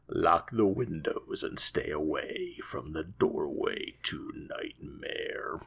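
Using a put-on character voice at an extremely high pitch, a man talks at a very slow pace with hardly any pauses. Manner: creepy, spooky.

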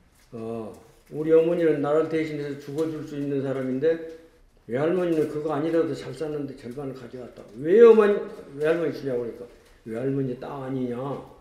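A fairly high-pitched man at a fairly quick pace, with big swings in loudness and ordinary pitch variation, over noticeable background noise. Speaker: former political prisoner. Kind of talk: testimony.

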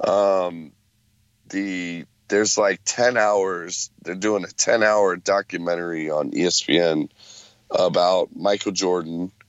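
A man's very deep, low voice at a very slow pace, with fairly even intonation. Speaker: sports podcast co-host. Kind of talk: casual chat.

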